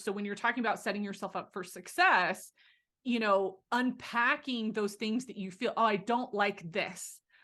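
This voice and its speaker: Against a quiet background, a woman speaks at a fairly high pitch in a bright, sharp, animated tone. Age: 40s. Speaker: career coach and podcast host. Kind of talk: casual chat.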